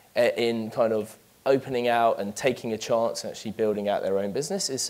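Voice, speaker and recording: With a London accent, a man at a medium pitch talks at a fairly quick pace with ordinary pitch variation. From London, England. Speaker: business manager giving a talk. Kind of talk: conference presentation. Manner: hesitant, many fillers.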